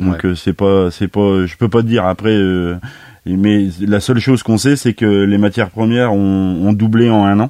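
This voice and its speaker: Fairly even intonation marks a man's speech, which moves at a moderate pace. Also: fairly low pitch for a man. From France, Nièvre. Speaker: master baker and bakers' union head. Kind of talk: radio interview. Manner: halting.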